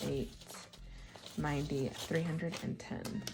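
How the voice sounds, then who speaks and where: A woman's fairly low voice over noticeable background noise. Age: 30s. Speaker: budgeting vlogger. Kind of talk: casual chat.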